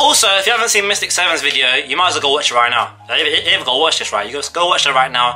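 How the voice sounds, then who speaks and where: A man with a fairly high pitch speaks with lively intonation against noticeable background noise. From Britain. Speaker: gaming youtuber. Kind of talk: vlog commentary. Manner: fast; animated.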